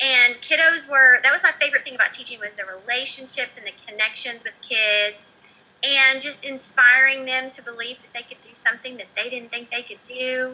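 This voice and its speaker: Raised and projected, a woman's high-pitched voice moves at a fairly quick pace with fairly even intonation and big swings in loudness. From Oklahoma. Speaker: former teacher turned entrepreneur. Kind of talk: interview.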